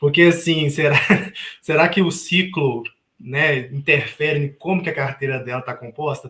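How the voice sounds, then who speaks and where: At a moderate pace, a man speaks with a Minas Gerais accent and a fairly high pitch. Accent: Minas Gerais (mineiro). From Minas Gerais, Brazil. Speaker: investment youtuber. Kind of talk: live panel discussion.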